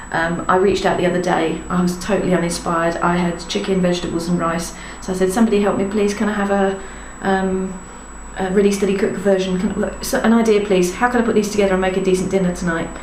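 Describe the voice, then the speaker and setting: The speech is very fast, with monotone, flat intonation. Noticeable background noise and audible room echo come through. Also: woman, medium pitch for a woman. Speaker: parenting blogger. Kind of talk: casual vlog monologue. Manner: rambling, chatty.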